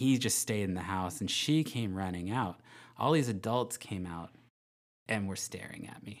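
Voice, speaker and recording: A man with an American accent and a plain, everyday voice speaks at a moderate pace, fairly low in pitch, with ordinary pitch variation and big swings in loudness. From Northern California. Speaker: high school math teacher. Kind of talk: casual chat.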